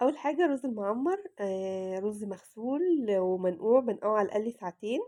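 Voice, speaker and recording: With an Egyptian accent, a woman speaks at a moderate pace in a fairly high pitch, a dark, mellow tone and lively intonation. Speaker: cooking vlogger. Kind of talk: cooking tutorial. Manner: casual, chatty.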